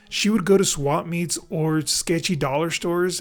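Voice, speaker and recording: The talking proceeds fairly slowly while music sounds behind it. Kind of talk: personal storytelling narration. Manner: rough, inexperienced script read.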